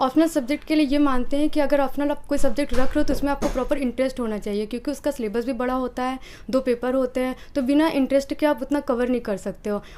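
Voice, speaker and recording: Music plays in the background as a woman with a high pitch talks with hardly any pauses and fairly even intonation. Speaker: civil service exam aspirant. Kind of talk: interview. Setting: her rented room. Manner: fast; brisk, confident answers.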